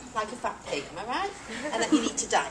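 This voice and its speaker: With an English accent, a woman speaks at a high pitch with very wide pitch swings, and the room echo is audible. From England. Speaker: professor. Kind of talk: lecture.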